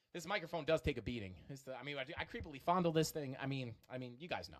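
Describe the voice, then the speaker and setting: A man talks at a very fast pace. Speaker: crypto streamer. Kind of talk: live stream chart analysis. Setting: live stream. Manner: many filler words.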